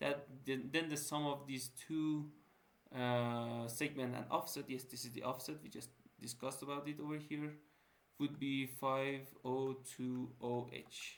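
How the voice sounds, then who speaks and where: Delivered in a non-native accent with monotone, flat intonation, the speech carries noticeable background noise and audible room echo. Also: man, medium pitch for a man. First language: not English. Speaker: student tutor. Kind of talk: lecture. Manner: halting; casual.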